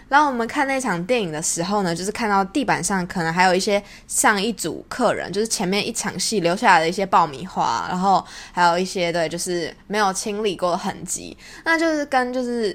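This is a plain, everyday voice. The intonation is lively. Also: woman, medium pitch for a woman. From Taiwan. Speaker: podcast host. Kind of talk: casual monologue.

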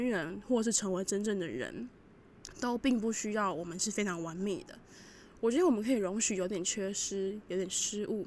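At a fairly quick pace, a woman with a Taiwanese accent speaks in a medium pitch with ordinary pitch variation. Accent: Taiwanese Mandarin. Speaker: student radio DJ. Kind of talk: music radio show.

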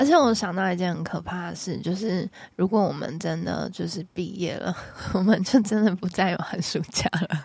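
A woman speaks at a moderate pace in a medium-pitched voice with vocal fry. Her pitch varies in an ordinary way. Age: 20s. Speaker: psychology graduate student. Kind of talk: casual chat.

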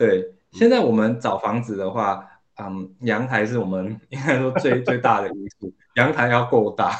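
Here is a man with an unremarkable speaking voice. He speaks at a fairly slow pace with a medium pitch and ordinary pitch variation. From Singapore. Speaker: product manager. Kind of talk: casual chat.

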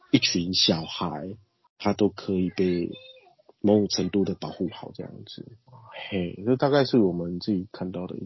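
With a very deep, low pitch, a man talks through long, frequent pauses and big swings in loudness. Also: ordinary pitch variation, moderate pace. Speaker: nonprofit director, community worker. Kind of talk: interview, casual talk.

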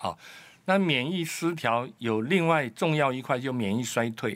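Lively intonation marks this man's plain, everyday voice. He keeps a moderate pace. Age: 60s. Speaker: immunology researcher and doctor. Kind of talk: expert interview.

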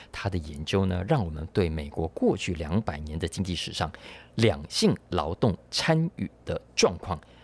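On a very clean recording with a silent background, a man with a very deep, low voice speaks at a moderate pace with ordinary pitch variation. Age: old. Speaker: podcast host; book publisher. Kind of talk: solo podcast commentary on news. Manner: conversational, many filler particles.

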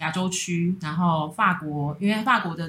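A woman speaks in an ordinary speaking voice at a fairly low pitch and a moderate pace, with ordinary pitch variation. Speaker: pastry chef and bakery co-founder. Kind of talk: casual chat. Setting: recording at a friend's home.

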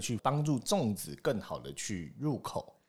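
A man speaks with very wide pitch swings and vocal fry. The recording is very clean, with a silent background. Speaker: podcast host. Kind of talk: casual chat.

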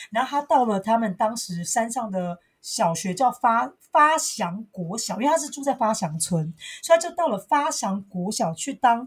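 At a moderate pace, a woman with a fairly high pitch speaks with very wide pitch swings. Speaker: podcast co-host. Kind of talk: casual chat. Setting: home recording.

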